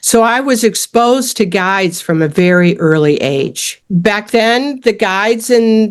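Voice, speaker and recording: In a normal speaking voice, a woman with an American accent talks at a fairly high pitch with lively intonation. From US Midwest, suburbs of Detroit, Michigan. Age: 60s. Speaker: fly casting instructor and fishing guide. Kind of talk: interview.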